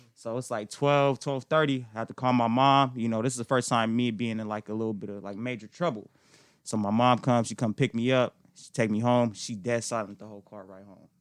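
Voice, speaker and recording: In an unremarkable speaking voice, a man talks fairly quickly at a medium pitch, his loudness swinging widely, with a dry, close sound with no echo and a quiet background. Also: fairly even intonation. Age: 20s. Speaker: real estate agent. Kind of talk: casual chat.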